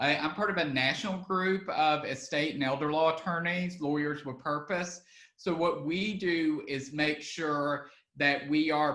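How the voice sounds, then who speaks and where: A man's fairly high, bright and sharp voice at a fairly slow pace, with ordinary pitch variation. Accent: Southern US. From Alabama. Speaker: estate planning attorney. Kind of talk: online webinar presentation. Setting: online video webinar. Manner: casual with frequent fillers.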